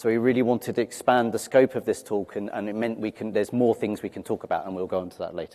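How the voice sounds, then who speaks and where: With a London accent, a man speaks at a very fast pace with hardly any pauses. His tone is dark and mellow, and his intonation fairly even. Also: medium pitch for a man. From London, England. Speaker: cloud security manager, conference speaker. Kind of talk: conference talk.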